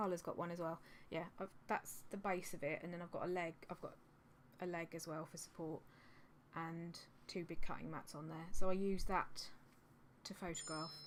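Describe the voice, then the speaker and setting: In a southern English accent, the speech stays monotone and flat, with long, frequent pauses and big swings in loudness. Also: woman, fairly low pitch for a woman, moderate pace. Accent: generic southern English. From Suffolk, England. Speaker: reseller vlogger. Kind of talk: casual vlog. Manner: rambling, hesitant with many ums.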